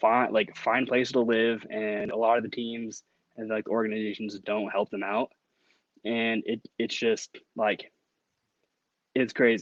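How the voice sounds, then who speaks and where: The delivery is monotone and fairly slow, with long, frequent pauses and a dry, close sound with no echo. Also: man. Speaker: sports podcaster. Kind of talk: interview answer.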